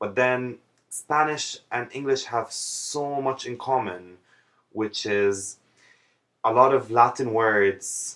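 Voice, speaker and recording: Speaking at a very slow pace, a man talks with an Arabic accent. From Jordan. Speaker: vlogger. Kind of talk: casual vlog monologue.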